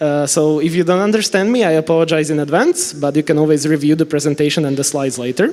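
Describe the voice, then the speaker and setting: With noticeable background noise, a man speaks at a fairly quick pace in a Slovak accent. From Slovakia. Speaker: network engineer and trainer. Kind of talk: conference talk. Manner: fast.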